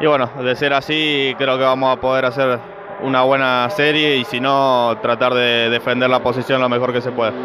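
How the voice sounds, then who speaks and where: A man of medium pitch at a moderate pace, with fairly even intonation, very even loudness and a dry, echo-free sound over noticeable background noise. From Argentina. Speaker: racing driver. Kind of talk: post-race interview. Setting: trackside interview at a race circuit. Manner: hesitant, with fillers and repetitions. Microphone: handheld.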